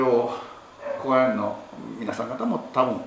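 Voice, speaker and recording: A man at a moderate pace and medium pitch, with audible room echo and noticeable background noise. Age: old. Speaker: Buddhist temple head priest. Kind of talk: sermon. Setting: temple hall with congregation.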